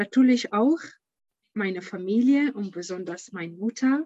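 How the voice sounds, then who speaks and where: A woman's medium-pitched voice with an Arabic accent, ordinary pitch variation, and a dry, close sound with no echo. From Syria. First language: Arabic (speaking German). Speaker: founder of an audiobook startup. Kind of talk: interview. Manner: halting, many filler sounds.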